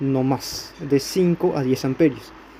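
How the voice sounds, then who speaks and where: There is noticeable background noise behind this recording. The man speaking shows ordinary pitch variation. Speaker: electronics tutorial youtuber. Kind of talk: tutorial. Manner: halting, self-correcting.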